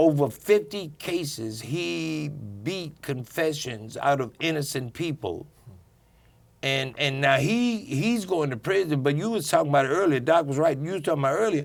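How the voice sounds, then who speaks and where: Lively intonation colors the voice of a man with a fairly high pitch. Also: moderate pace. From US Midwest, South Side Chicago. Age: 60s. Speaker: community panel guest. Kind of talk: casual panel discussion. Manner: halting.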